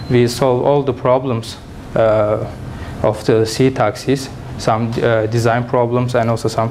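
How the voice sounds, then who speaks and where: With a Turkish accent, a man of medium pitch speaks at a fairly slow pace and very even loudness, his intonation fairly even, amid noticeable background noise and audible room echo. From Turkey. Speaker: engineering student and startup founder. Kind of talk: conference presentation; audience Q&A. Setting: conference with audience. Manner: halting, many fillers.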